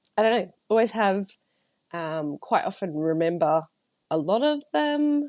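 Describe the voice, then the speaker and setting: With an Australian accent, a woman talks at a fairly slow pace with very wide pitch swings, the sound dry and close with no echo over a quiet background. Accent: Australian twang. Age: 30s. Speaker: podcast host and writer. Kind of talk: casual solo podcast chat. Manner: chatty, filler-heavy.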